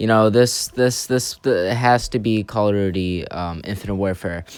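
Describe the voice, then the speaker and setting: Against noticeable background noise, a man talks at a moderate pace with a fairly low pitch and ordinary pitch variation. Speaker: gaming youtuber. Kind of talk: casual ranking commentary. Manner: halting with many fillers.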